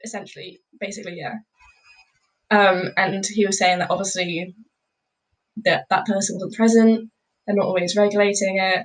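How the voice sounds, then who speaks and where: Long, frequent pauses break up this somewhat breathy, monotone delivery, which moves at a moderate pace with flat intonation. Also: woman, medium pitch for a woman. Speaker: law student, podcast guest. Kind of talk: casual chat.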